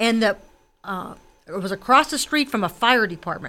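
A woman's bright, sharp voice with a Western Pennsylvania accent, very wide pitch swings and a fairly quick pace, on a very clean recording with a silent background. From McKees Rocks, Pittsburgh area, Pennsylvania. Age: 60s. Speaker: political candidate. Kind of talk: radio interview. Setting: radio studio.

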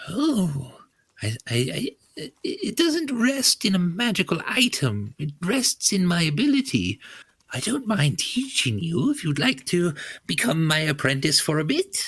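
Using a put-on character voice, a man talks at a fairly slow pace and a high pitch. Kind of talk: comic character voice at a game table. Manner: cheerful, grandmotherly, breezy.

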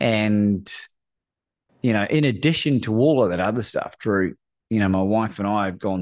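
On a very clean recording with a silent background, a man with an Australian accent talks at a moderate pace, fairly low in pitch with ordinary pitch variation. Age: 40s. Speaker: courage coach. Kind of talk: casual chat.

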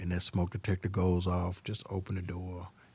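Against a quiet background, a man with a Southern US accent speaks at a moderate pace in a very deep, low, somewhat breathy voice with a dark, mellow tone and flat, monotone intonation. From Arkansas (Pine Bluff). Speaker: fire chief. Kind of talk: interview on fire safety.

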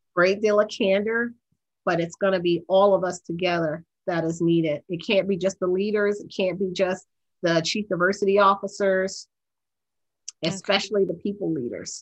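A woman speaks at a medium pitch with an American accent, at a moderate pace. She has an ordinary speaking voice with fairly even intonation. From US, Baltimore, Maryland. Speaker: accounting executive. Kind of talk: interview.

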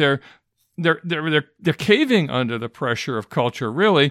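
Man with an American accent, dry and close with no echo, on a very clean recording with a silent background. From Michigan, US. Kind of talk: solo talk to pastors.

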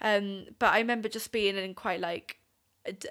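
Bright and sharp in tone, a woman with a Welsh accent speaks at medium pitch with monotone, flat intonation. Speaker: youth camp attendee. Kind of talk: casual chat. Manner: giggly.

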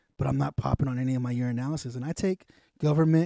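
Dry and close with no echo, in a very clean recording with a silent background, a man with an American accent talks at a very fast pace in a dark, mellow tone. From US South. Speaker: podcast host, Marine veteran. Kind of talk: casual podcast monologue. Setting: home studio. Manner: animated.

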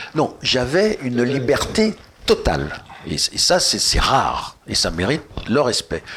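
Noticeable background noise runs under this recording. A man speaks at a very slow pace. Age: old. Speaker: retired film producer. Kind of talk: casual chat.

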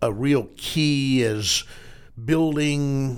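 A man with a Southern US accent on a very clean recording with a silent background. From Arkansas. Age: 60s. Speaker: podcast host, newspaper editor. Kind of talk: interview.

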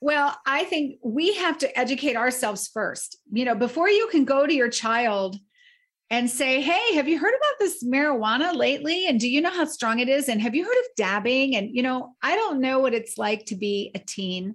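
A woman with a high voice speaks at a moderate pace, her pitch swinging very widely against a quiet background. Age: 50s. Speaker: nonprofit founder and bereaved mother. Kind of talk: interview.

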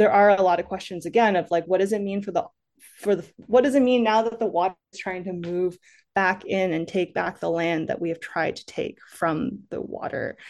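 A normal speaking voice in an American accent, fairly quick, with ordinary pitch variation. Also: woman, medium pitch for a woman. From Massachusetts. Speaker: environmental journalist and author. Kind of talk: interview.

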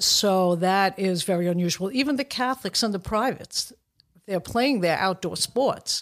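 A woman in a New York accent, with ordinary pitch variation and very even loudness, in a very clean recording with a silent background. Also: medium pitch for a woman, moderate pace. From Brooklyn, New York. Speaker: referee assigner. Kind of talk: casual chat.

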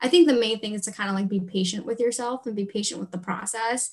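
Somewhat breathy, a woman talks at a fairly high pitch with ordinary pitch variation. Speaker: podcast host. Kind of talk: casual chat.

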